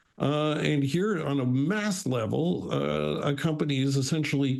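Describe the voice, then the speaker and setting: There is audible room echo. A man's voice sits fairly high. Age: 60s. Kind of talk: panel discussion. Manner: halting.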